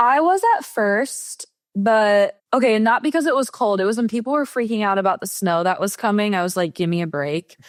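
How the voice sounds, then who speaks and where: With an American accent, a woman has an unremarkable speaking voice at a fairly high pitch. She talks at a moderate pace with lively intonation and hardly any pauses. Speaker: Olympic swimmer. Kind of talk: podcast interview answer. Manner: casual, chatty.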